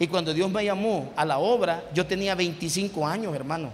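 There is noticeable background noise. A man speaks at a fairly slow pace in a high voice with ordinary pitch variation. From El Salvador. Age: 50s. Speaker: pastor. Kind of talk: sermon. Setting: church.

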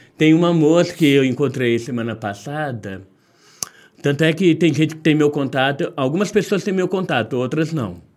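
This man has a plain, everyday voice, pitched fairly high, with lively intonation. He talks at a moderate pace. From Minas Gerais, Brazil (Caratinga). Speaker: street sweets seller. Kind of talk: casual interview.

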